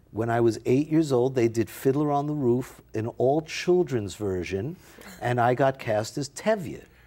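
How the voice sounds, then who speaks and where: A man with a New York accent, a dark, mellow tone and a fairly slow pace. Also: medium pitch for a man, lively intonation. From New York (Bronx). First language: Yiddish. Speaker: actor. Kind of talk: interview.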